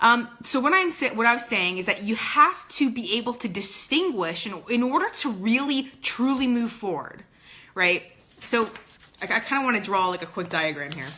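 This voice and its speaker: The speaker's pitch swings very widely at a moderate pace, with noticeable background noise behind. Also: woman, fairly high pitch for a woman. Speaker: performance coach. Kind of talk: motivational video talk. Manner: halting, many fillers.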